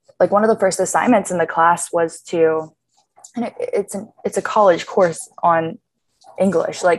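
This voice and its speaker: With an American accent, a woman speaks slowly in a plain, everyday voice, her pitch fairly low. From Pittsburgh, US. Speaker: college student. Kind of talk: interview.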